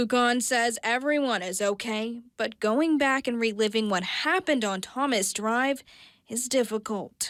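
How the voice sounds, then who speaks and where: Here is an ordinary speaking voice from a woman, fairly high in pitch with ordinary pitch variation. She goes at a fairly slow pace in a very clean recording with a silent background. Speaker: TV news reporter and anchor. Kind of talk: TV news reporting.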